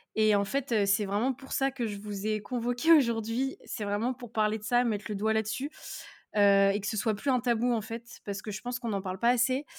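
Recorded very cleanly with a silent background and a dry, close sound with no echo, a woman talks at a moderate pace with fairly even intonation. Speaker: podcast host, pharmacy student. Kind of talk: casual chat.

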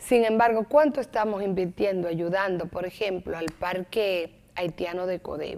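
In an ordinary speaking voice, a woman of medium pitch talks at a fairly slow pace with ordinary pitch variation and hardly any pauses. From Dominican Republic, Santo Domingo. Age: 50s. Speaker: lawyer and former deputy minister. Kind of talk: TV interview.

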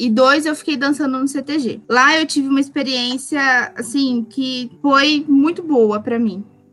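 A woman with a high voice talks at a fairly slow pace, her intonation fairly even. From Brazil, Paraná. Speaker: gaucho culture pageant representative. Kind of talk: casual interview chat.

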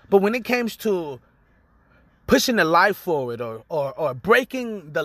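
At a fairly slow pace, a man projects a raised, high voice with a bright, sharp tone and very wide pitch swings. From Los Angeles area, California. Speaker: podcast host and musician. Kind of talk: personal storytelling monologue. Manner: casual, profanity-laced.

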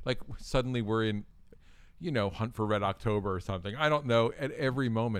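Ordinary pitch variation and a fairly quick pace from a man. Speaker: podcast host. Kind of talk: casual chat, movie review podcast. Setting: studio, good microphones.

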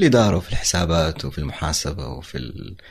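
Noticeable background noise sits behind a man's very deep, low voice. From Hejaz, Saudi Arabia. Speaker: entrepreneur and marketer. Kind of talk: casual interview.

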